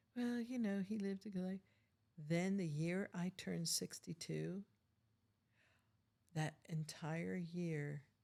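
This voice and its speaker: The speaker goes at a very slow pace with long, frequent pauses, very even loudness and ordinary pitch variation. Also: woman, fairly low pitch for a woman. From US, Italian immigrant family. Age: 70s. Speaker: navy veteran sharing life story. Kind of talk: life story interview.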